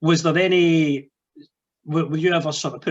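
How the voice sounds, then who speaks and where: A man with a Scottish accent. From Scotland. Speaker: wrestling podcast host and wrestler. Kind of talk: podcast interview.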